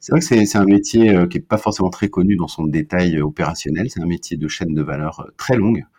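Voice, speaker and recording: A man's very deep, low voice, dark and mellow, with lively intonation, a fairly quick pace and hardly any pauses against a quiet background. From Brittany, France. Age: 50s. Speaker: marketing director. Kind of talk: interview conversation. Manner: hesitant, frequent repetitions.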